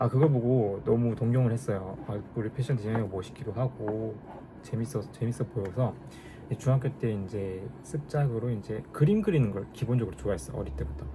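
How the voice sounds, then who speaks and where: A man at a fairly quick pace with lively intonation amid noticeable background noise. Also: medium pitch for a man. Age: 30s. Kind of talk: casual talk to camera vlog.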